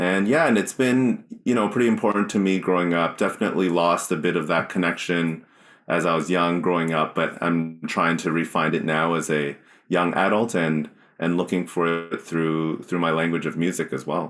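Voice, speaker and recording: A man with a Canadian accent and a very deep, low pitch talks at a moderate pace with ordinary pitch variation and very even loudness, on a very clean recording with a silent background. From Canada, Mississauga. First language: Cantonese. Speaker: singer-songwriter. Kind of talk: interview.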